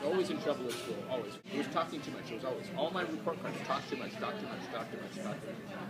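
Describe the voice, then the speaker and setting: Over crowd noise in the background, a high-pitched man speaks very fast with lively intonation and hardly any pauses. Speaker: sign language interpreter. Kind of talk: interview.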